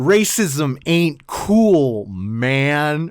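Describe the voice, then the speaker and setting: The voice is a put-on character. Its pitch lands in the low-to-middle range. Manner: exaggerated, cheesy.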